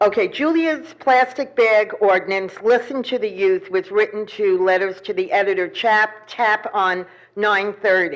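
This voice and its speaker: A woman talks at a fairly slow pace with hardly any pauses, in an ordinary speaking voice. Her pitch is fairly high and her intonation lively. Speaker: public commenter at town meeting. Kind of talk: public comment and reading a letter aloud. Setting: town council meeting.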